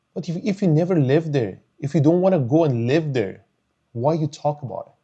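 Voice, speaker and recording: A man with a Persian accent talks at a fairly quick pace in a fairly high, somewhat breathy voice with a dark, mellow tone. His intonation is lively. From Iran. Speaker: YouTuber, commentator. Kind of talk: personal commentary monologue. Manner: emotional, animated; halting, repeating words.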